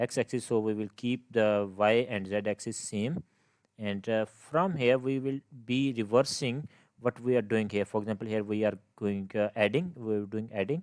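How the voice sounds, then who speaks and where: A man speaks at a moderate pace with fairly even intonation. The recording is very clean and dry, close, with a silent background and no echo. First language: not English. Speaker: game development tutor. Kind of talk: tutorial. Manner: halting, many fillers and restarts.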